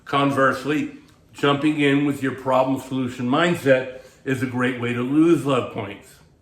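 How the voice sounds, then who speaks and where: Monotone, flat intonation at a moderate pace, with audible room echo. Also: man, medium pitch for a man. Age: 60s. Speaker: dating coach and author. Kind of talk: advice monologue to camera. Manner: casual, conversational with filler words.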